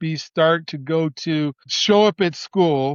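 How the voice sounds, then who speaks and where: With an American accent, a man speaks fairly slowly in a high pitch with ordinary pitch variation. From Colorado, US. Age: 60s. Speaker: educator with a doctorate. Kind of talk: podcast interview, personal story.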